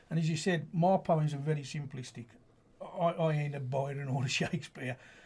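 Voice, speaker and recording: Noticeable background noise runs under the speech. The pace is fairly quick and the intonation fairly even. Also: man, fairly high pitch for a man. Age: 60s. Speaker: amateur poet and football supporter. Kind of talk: radio interview. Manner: casual, hesitant with fillers.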